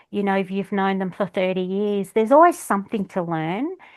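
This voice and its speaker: The speaker is a woman with an Australian accent. Nothing else can be heard around her. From Australia, Melbourne (Flemington). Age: 50s. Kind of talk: casual interview chat. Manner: hesitant, many fillers.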